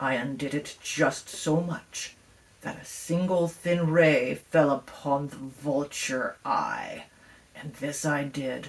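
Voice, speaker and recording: Growling at a very slow pace, a woman speaks with a very deep, low pitch. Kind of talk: gothic horror reading. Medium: read story. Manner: intense, feverish, insistent.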